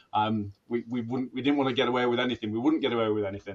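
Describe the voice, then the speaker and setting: This is a man's voice. His pitch is medium. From northwest England (Wigan area). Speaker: former hostage negotiator, police officer. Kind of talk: interview. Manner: hesitant, many fillers and repetitions.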